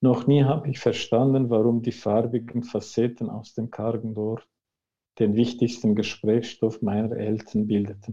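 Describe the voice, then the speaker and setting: A man's dark, mellow voice at medium pitch, fairly slow in pace, with monotone, flat intonation. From Central Anatolia, Turkey (Kurdish village). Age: 50s. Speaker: author. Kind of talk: reading aloud. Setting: video call.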